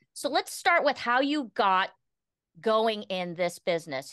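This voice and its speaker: With an American accent and a bright, sharp tone, the voice swings very widely in pitch, sounding dry and close with no echo against a quiet background. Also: woman. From US. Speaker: talk show host. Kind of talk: interview.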